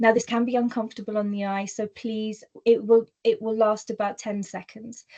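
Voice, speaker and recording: A woman's dark, mellow, somewhat breathy voice, monotone and flat, at a moderate pace against a quiet background. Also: fairly high pitch for a woman. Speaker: workplace diversity speaker. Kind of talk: webinar presentation. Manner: occasional word stumbles and fillers.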